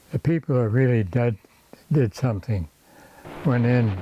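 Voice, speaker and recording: A man's pitch varies in an ordinary way while noticeable background noise sounds around him. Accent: American. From Syracuse, New York area. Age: 80s+. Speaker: WWII Marine veteran. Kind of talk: interview answer.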